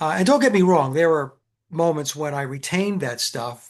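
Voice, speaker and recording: Over a quiet background, a man with a plain, everyday voice talks at a moderate pace with ordinary pitch variation. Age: 60s. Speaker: musician. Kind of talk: casual chat.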